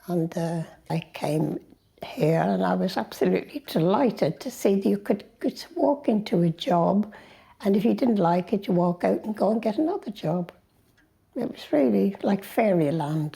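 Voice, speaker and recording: Using vocal fry and very wide pitch swings, a woman talks at a moderate pace. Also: medium pitch for a woman. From Ireland, Dublin. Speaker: interviewee in a documentary. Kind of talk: personal life story told to camera.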